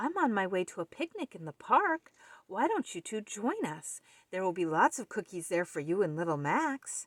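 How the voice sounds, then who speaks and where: A put-on character voice at a moderate pace. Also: woman, medium pitch for a woman. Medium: read story.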